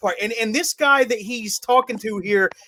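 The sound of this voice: The speaker reads in an unforced voice whose pitch varies in an ordinary way.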